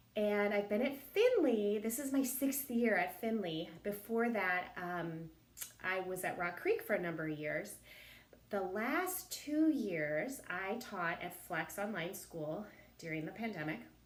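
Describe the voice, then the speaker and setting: Audible room echo surrounds a woman who speaks at a fairly slow pace, with a medium pitch and lively intonation. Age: 50s. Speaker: elementary school teacher. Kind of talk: recorded introduction video to parents.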